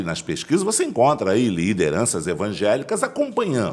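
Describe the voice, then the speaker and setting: The man's speech moves at a moderate pace. Vocal fry runs through his voice. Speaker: pastor and political candidate. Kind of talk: interview.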